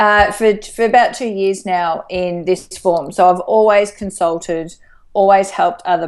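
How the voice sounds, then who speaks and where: A woman with an Australian accent speaks at a medium pitch and a moderate pace. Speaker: life coach. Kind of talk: interview. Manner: animated.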